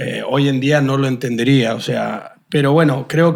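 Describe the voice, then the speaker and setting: A man talks in an ordinary speaking voice, fairly high in pitch, with fairly even intonation. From Argentina, San Juan. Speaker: podcast host. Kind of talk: interview.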